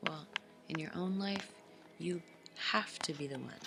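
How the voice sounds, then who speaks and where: A woman's very deep, low voice with ordinary pitch variation, music playing in the background. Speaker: tarot reader. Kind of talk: tarot reading to camera.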